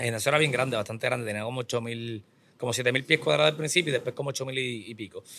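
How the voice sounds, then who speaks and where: Very fast speech from a man at medium pitch, bright, sharp tone and ordinary pitch variation. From Puerto Rico. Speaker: business owner and trainer. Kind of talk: interview.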